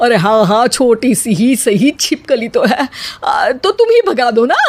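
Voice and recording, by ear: A woman puts on a character voice at a fairly high pitch, with big pitch swings and a slightly husky edge. Her tone is slightly mellow and her pace fairly slow.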